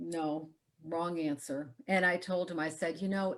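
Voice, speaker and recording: This is a normal speaking voice. A woman with a fairly low pitch talks at a moderate pace with ordinary pitch variation. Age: 60s. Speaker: health entrepreneur. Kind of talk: interview.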